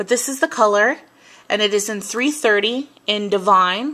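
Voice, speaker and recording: Speaking with an American accent, a woman has a bright, sharp tone, a fairly high pitch with ordinary variation, and a moderate pace. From US Northeast, New York. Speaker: beauty vlogger. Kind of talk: product review. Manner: animated.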